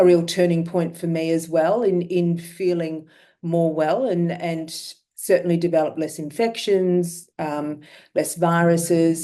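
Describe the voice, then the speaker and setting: A woman with an Australian accent has a fairly low, dark, mellow voice. Her delivery is monotone and flat, at a fairly slow pace. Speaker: myeloma patient sharing experience. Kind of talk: webinar talk.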